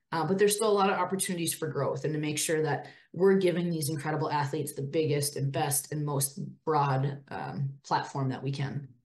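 Speaking fast-ish with a somewhat breathy, very deep, low pitch, a woman talks in an Upper Midwest accent. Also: ordinary pitch variation. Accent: Upper Midwest (Minnesota). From northern Minnesota, near Duluth. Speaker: women's hockey administrator, former college player. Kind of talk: interview.

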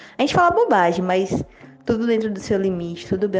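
Over noticeable background noise, a woman speaks at medium pitch and a fairly quick pace. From Ceará, Brazil. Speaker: community member giving testimonial. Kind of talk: recorded testimonial.

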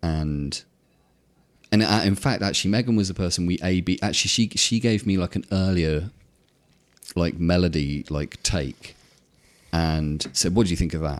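Using long, frequent pauses, a man with a southern English accent talks at a moderate pace in a very deep, low pitch with ordinary pitch variation. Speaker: electronic music producer. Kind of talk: casual interview. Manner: halting.

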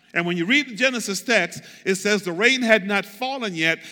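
A man's raised, projected, high voice, bright and sharp in tone, animated, with ordinary pitch variation. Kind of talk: sermon. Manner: animated, call-and-response preacher urging the congregation to say amen; emphatic, repetitive, conversational.

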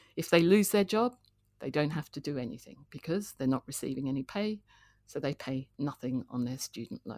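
With lively intonation, a woman talks in an Australian accent, and the sound is dry and close with no echo. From Australia, Canberra. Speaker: economics professor. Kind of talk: interview. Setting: video call.

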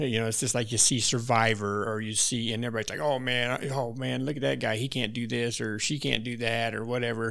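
With an American accent, a medium-pitched man talks at a very fast pace with fairly even intonation, and room echo is audible. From Wyoming, US. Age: 60s. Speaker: backcountry hunter. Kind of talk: casual chat with hunting stories.

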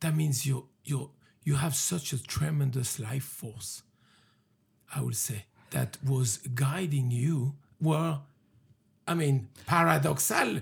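A man speaks at a very slow pace with long, frequent pauses. His fairly high, somewhat breathy voice shows ordinary pitch variation. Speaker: podcast host. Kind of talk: casual chat. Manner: halting, many fillers.

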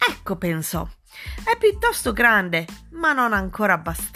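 The text is read aloud in a natural voice.

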